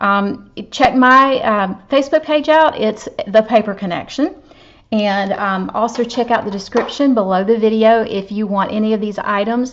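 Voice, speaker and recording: A fairly high-pitched woman with a Southern US accent, ordinary pitch variation and a moderate pace. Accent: Southern US (Georgia). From US South, Georgia. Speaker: papercraft demonstrator. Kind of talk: craft tutorial. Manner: casual, chatty.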